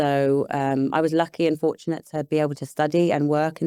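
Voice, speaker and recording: A woman's very deep, low voice in a British accent, with a dark, mellow tone and monotone, flat intonation. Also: dry, close sound with no echo. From England, London and Hertfordshire. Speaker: property investor and business psychologist. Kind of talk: podcast interview. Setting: in person.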